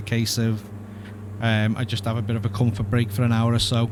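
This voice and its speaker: A man at a medium pitch with a Liverpool accent, a fairly quick pace, and noticeable background noise. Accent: Scouse. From Liverpool, England. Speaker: flight sim streamer. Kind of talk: live stream commentary. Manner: mumbles at times; casual, chatty.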